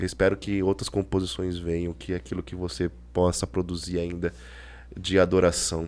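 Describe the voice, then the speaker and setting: At a moderate pace, a man speaks in a very deep, low pitch with ordinary pitch variation. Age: 40s. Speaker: podcast host. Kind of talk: casual chat.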